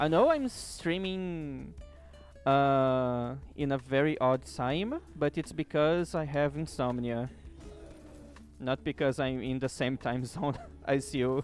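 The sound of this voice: Someone with a German accent speaks at a very slow pace, leaving long, frequent pauses. Music plays in the background. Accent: sounds German, pronounced R sounds.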